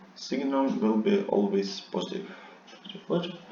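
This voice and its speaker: A man talks at a moderate pace, his pitch rising and falling very widely. Noticeable background noise and audible room echo fill the recording. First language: non-English. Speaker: seminar instructor. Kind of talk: lecture. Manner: halting, many fillers.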